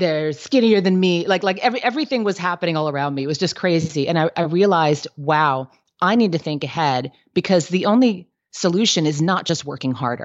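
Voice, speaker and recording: A woman talks in a plain, everyday voice at a fairly low pitch. Her pace is moderate and her intonation lively. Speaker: business coach and entrepreneur. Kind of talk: interview, casual professional chat.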